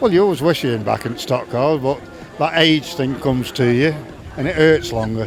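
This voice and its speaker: Lively in intonation and fairly quick in pace, the voice comes through over noticeable background noise. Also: man, fairly high pitch for a man. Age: 60s. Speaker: retired stock car driver. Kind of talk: casual interview.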